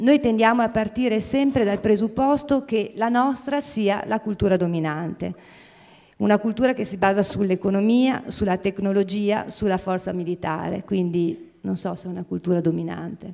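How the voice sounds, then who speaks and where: The voice has a dark, mellow tone and ordinary pitch variation at a moderate pace. The background is quiet. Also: woman, medium pitch for a woman. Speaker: nonprofit scientific director. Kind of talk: formal presentation. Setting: theatre stage with audience. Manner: hesitant, frequent fillers. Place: stage. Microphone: handheld.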